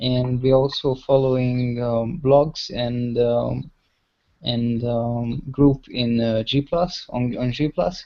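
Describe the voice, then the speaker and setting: A man speaks with a Hungarian accent at a very slow pace. His pitch is medium and his intonation fairly even. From Hungary. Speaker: web analytics practitioner. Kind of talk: online workshop chat. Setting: video call. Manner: hesitant.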